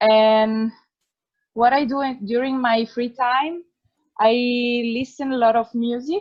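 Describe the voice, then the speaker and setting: Speaking at a very slow pace, a woman with an Italian accent uses a fairly high pitch. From northern Italy, near Piacenza. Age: 20s. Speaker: project participant. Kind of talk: self-introduction.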